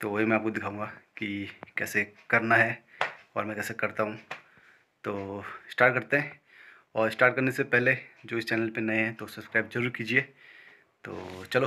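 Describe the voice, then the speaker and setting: At a moderate pace, a man speaks in a bright, sharp voice with monotone, flat intonation and long, frequent pauses. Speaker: fitness vlogger. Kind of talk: casual vlog chat. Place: home room. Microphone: phone near.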